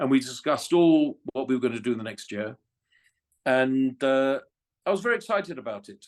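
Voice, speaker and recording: A man with a fairly high voice speaks at a moderate pace in an English accent, his intonation lively against a quiet background. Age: 60s. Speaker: former F1 communications director. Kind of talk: interview. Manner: halting.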